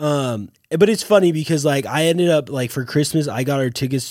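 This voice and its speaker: A man talks at a fairly quick pace in a normal speaking voice, with ordinary pitch variation. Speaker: podcast co-host. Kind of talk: casual chat.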